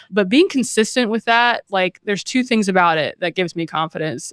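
At a fairly quick pace, a woman speaks in an ordinary speaking voice with ordinary pitch variation. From US South, small-town North Carolina. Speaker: PR professional. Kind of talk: casual interview.

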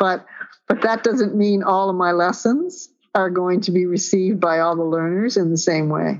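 A woman with a plain, everyday voice, medium pitch, fairly even intonation, very even loudness and a moderate pace. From Newfoundland, Canada. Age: 60s. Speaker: professor of physical education. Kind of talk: interview conversation.

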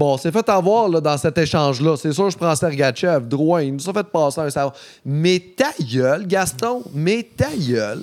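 A man talks at a fairly slow pace with hardly any pauses. His fairly high voice carries lively intonation. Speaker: comedian. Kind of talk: casual chat. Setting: studio.

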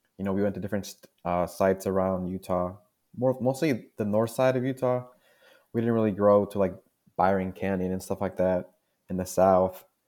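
With a dark, mellow tone and a fairly low pitch, a man talks at a fairly quick pace with fairly even intonation and long, frequent pauses. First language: Spanish. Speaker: junior geologist. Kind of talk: interview.

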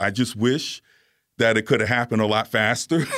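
Man with an American accent and a normal speaking voice, fairly low in pitch, fairly even in intonation, at a moderate pace, on a very clean recording with a silent background. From New York (Bronx) and Virginia. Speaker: atmospheric science professor. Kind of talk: radio interview. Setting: radio studio.

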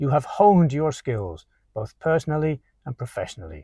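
Somewhat breathy speech moves at a moderate pace with lively intonation, captured with a dry, close sound with no echo. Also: man, very clean recording, silent background. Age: 50s. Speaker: English teacher. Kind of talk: scripted narration.

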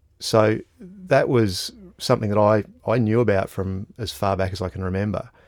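A man with an Australian accent, fairly low pitch, ordinary pitch variation, and moderate pace on a very clean recording with a silent background. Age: 40s. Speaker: strategic foresight consultant. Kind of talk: interview conversation. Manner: halting, frequent repetitions and fillers.

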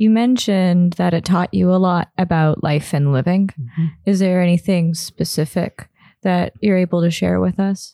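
A woman with a Canadian accent speaks at a moderate pace in a dark, mellow, fairly low voice with ordinary pitch variation and very even loudness, the sound dry and close with no echo in a very clean recording with a silent background. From Toronto, Canada. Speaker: podcast host. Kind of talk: casual interview.

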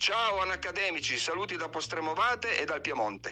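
A man speaks with lively intonation. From Piedmont, Italy. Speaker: poet. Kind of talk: poetry reading. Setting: recorded voice message.

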